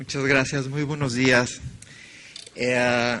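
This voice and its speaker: A man speaks with a Mexican accent at a medium pitch and a fairly slow pace. Background noise is noticeable. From Mexico. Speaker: conference speaker. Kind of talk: lecture.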